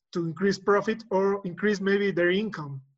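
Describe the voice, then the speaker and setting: High-pitched man with a Spanish accent at a fairly slow pace. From Mexico City. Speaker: engineer and college teacher. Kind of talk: casual chat. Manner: halting.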